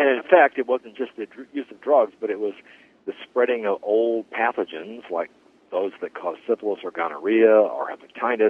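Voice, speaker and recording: This man speaks at a medium pitch with lively intonation. He has an ordinary speaking voice and keeps a moderate pace. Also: big swings in loudness. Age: 60s. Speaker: podcast host. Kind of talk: interview conversation.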